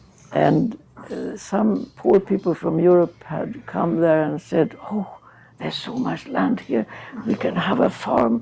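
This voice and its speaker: Speaking at a fairly slow pace, a woman's fairly low voice makes very wide pitch swings. Noticeable background noise is present. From Sweden. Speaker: charity founder. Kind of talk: interview.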